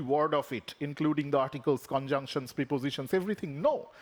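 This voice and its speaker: A man with a Bengali accent speaks at a fairly high pitch with ordinary pitch variation. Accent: Indian English (Bengali). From India (Bengal). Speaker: professor. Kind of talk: lecture. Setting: conference stage.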